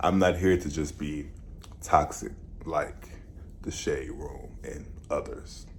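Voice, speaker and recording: Amid audible room echo, a man speaks at a very slow pace with long, frequent pauses and big swings in loudness. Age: 20s. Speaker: vlogger and musician. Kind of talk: vlog monologue.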